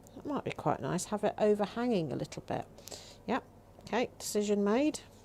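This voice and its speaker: A woman speaks at a fairly quick pace with a dark, mellow tone. Her medium-pitched voice moves in very wide pitch swings. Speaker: craft demonstrator. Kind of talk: live craft tutorial. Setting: livestream. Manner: casual, thinking aloud.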